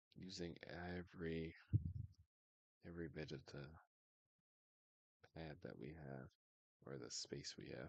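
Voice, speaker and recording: A man mumbles his words. His voice is very deep and low. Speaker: streamer. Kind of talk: casual chat. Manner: mumbling. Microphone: audio too quiet.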